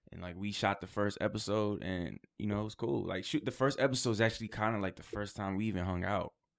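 A man with a New York accent talks at a very fast pace in a fairly low voice, with hardly any pauses and ordinary pitch variation. His loudness swings widely in a very clean recording with a silent background. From Queens, New York. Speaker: rapper and actor. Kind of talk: casual interview chat. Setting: studio.

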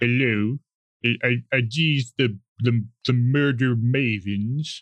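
A man puts on a gruff character voice at a medium pitch with fairly even intonation. He speaks very slowly.

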